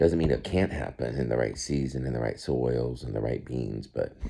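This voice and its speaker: This man has a very deep, low voice with vocal fry and a dark, mellow tone, speaking at a moderate pace with ordinary pitch variation. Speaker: grandfather making science videos for grandchildren. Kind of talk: casual talk to camera for a grandchild. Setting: indoors at home, early morning. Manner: soft-spoken; halting.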